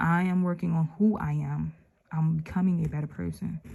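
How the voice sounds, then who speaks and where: A woman speaks at a moderate pace in a fairly low, somewhat breathy voice with a dark, mellow tone. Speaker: religious channel host reading scripture. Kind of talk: scripture reading with reflection. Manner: casual, conversational.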